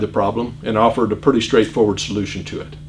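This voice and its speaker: A man with a Midwestern American accent talks at a very fast pace against noticeable background noise. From US Midwest, Iowa. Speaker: political candidate. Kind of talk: campaign speech.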